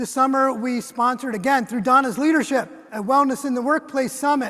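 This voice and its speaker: Over noticeable background noise, a man with an American accent uses a raised, projected voice at an extremely high pitch, speaking at a fairly quick pace with fairly even intonation. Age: 60s. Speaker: government official. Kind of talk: keynote speech. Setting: conference stage with audience.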